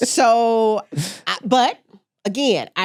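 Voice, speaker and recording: With a Southern US accent, a woman speaks in an animated tone on a very clean recording with a silent background. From US South, coastal Mississippi. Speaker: interior designer. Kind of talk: casual interview chat.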